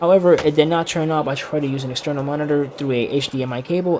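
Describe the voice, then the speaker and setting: A man talks at a fairly quick pace with fairly even intonation. Noticeable background noise runs beneath him. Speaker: YouTuber telling a personal story. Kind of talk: casual storytelling vlog. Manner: halting, many fillers and self-corrections.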